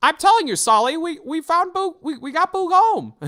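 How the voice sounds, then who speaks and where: A man performs in a put-on character voice. His pitch is extremely high, and his pace is moderate. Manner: cartoon character voice.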